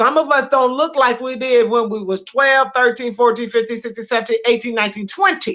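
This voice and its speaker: A woman's fairly high voice has a bright, sharp tone, moving at a moderate pace with ordinary pitch variation. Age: 60s. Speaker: podcast co-host, minister. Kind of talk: casual chat.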